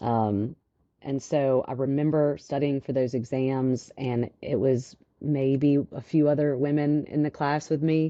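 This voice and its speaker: A woman with a Louisiana accent, a very deep, low pitch, fairly even intonation and a fairly slow pace. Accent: Southern (Louisiana) country. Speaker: financial advisor. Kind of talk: interview.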